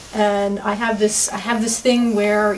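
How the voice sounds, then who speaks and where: Background noise is noticeable here. Over it, a woman talks. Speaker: cast member. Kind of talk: confessional interview.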